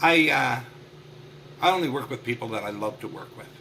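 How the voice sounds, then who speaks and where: A man talks at a medium pitch and a moderate pace, with ordinary pitch variation. Noticeable background noise runs underneath. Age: 60s. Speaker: marketing consultant. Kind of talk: podcast interview.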